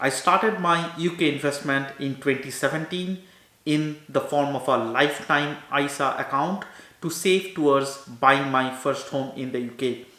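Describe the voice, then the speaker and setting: Moderate pace and ordinary pitch variation, with audible room echo. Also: man, fairly high pitch for a man. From India. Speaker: doctor and finance YouTuber; finance YouTuber. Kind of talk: informational talk to camera. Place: home room.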